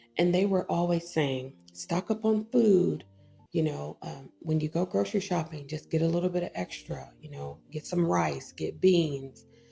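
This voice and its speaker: Someone with an American accent speaks at a moderate pace with music in the background. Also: woman. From Texas. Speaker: online ministry vlogger. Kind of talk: personal reflection vlog. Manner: casual, conversational with filler words.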